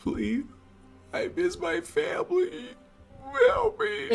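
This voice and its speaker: A put-on character voice talks at a very slow pace over clear music in the background. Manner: pleading, pained.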